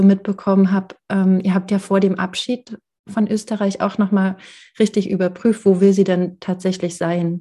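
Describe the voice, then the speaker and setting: At a fairly slow pace, a somewhat breathy voice with a dark, mellow tone speaks against a quiet background. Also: woman. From rural Germany. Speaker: podcast host and therapist. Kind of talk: casual interview.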